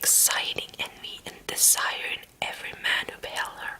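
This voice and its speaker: Whispering at a moderate pace. Background noise is noticeable throughout. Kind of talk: ASMR story reading. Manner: soft whisper.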